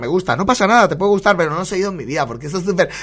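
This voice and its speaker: Here a man speaks in a raised, projected voice with a bright, sharp tone and a high pitch. His delivery is animated, with ordinary pitch variation. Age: 40s. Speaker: podcast host. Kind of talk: casual comedic monologue. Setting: home studio at computer.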